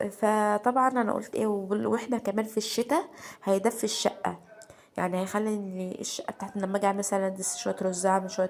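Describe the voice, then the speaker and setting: Noticeable background noise sits behind a woman speaking in an Egyptian accent. Her medium-pitched voice keeps fairly even intonation. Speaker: home vlogger. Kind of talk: casual home vlog. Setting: at home. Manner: halting.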